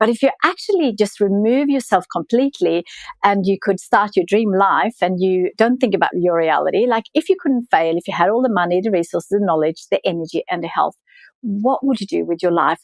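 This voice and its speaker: In a Swedish accent, the speaker moves at a fairly quick pace with ordinary pitch variation, the sound dry and close with no echo. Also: woman. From Sweden. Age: 40s. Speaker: entrepreneur and author. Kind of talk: podcast interview.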